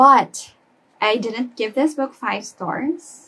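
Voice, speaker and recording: With ordinary pitch variation, a woman talks in a somewhat breathy voice. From Philippines (Cebu). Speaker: book reviewer. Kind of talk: casual talk to camera. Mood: opinionated, animated. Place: home room. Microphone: phone near.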